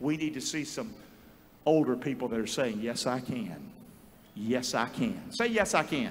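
At a moderate pace, the speaker uses a Southern US accent with very wide pitch swings. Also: man, fairly high pitch for a man. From North Carolina. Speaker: pastor. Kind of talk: sermon. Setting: church. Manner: animated. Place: church. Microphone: handheld.

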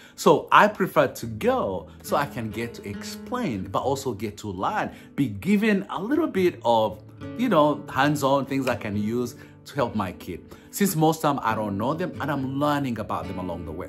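With a Ugandan accent, a man speaks at a moderate pace, his pitch swinging very widely and his loudness rising and falling sharply, as faint music plays in the background. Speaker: foster parent and speaker. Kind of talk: casual talk to camera. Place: home room. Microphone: phone near.

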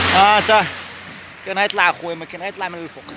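A man speaks very fast. The sound is dry with no echo, over noticeable background noise. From Morocco. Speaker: travel vlogger. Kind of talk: vlog narration. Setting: outdoors. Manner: animated. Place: street. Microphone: phone near.

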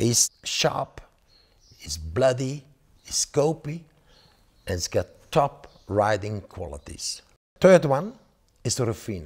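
A very slow man with vocal fry, a medium pitch, very wide pitch swings and long, frequent pauses, against a quiet background. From Belgium. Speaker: horse breeder and auctioneer. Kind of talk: promotional interview. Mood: enthusiastic, praising horses. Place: home room. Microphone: lapel.

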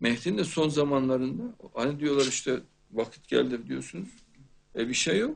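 The pace is moderate. The speaker is a man. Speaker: show host. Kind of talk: religious talk. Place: studio.

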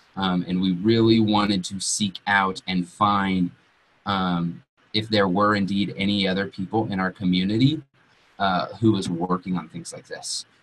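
A man with an American accent speaks at a moderate pace. His pitch is fairly low and his intonation fairly even. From Colorado, Western Slope (Grand Junction); Colorado. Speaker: entrepreneur, co-working space owner; webinar presenter. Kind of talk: webinar presentation. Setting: online webinar. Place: home room. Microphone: webcam.

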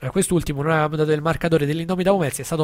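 This man has a fairly high pitch. His intonation stays fairly even. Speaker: radio host. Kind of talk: sports results reading. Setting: studio.

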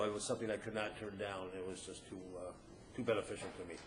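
This man talks at a very fast pace. He has an American accent. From Ferndale, Michigan. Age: 50s. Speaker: city council candidate. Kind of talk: candidate forum answer. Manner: halting, many fillers.

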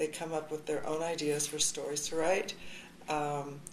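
A woman speaks at a moderate pace with monotone, flat intonation. Light background noise sits behind her. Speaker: high school journalism teacher. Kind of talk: interview answer.

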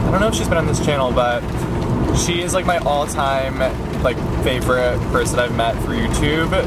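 The sound is dry with no echo as a man speaks at a moderate pace through loud background noise. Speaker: vlogger. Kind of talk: casual vlog chat. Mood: playful, mildly exasperated. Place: car. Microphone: phone near.

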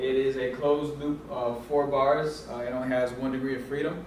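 Amid light background noise and audible room echo, a man speaks at a moderate pace in a monotone with flat intonation. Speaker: presenter. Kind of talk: class presentation. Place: classroom. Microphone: camera far.

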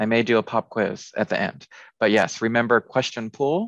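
The sound is dry with no echo and a quiet background. A man speaks at a moderate pace. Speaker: instructional consultant. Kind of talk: tutorial. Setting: video call. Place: home room. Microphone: webcam.

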